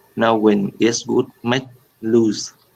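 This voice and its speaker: Someone with a Vietnamese accent speaks very slowly in a flat monotone. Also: man. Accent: Vietnamese English, fairly developed. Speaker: English learner. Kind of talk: reading aloud. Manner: halting.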